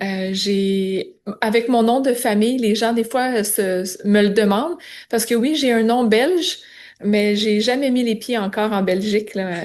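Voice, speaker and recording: In a Quebec accent, a woman with a fairly high pitch and ordinary pitch variation talks at a fairly slow pace. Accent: Québécois French. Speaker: biblical counselor. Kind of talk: podcast interview. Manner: hesitant, many fillers.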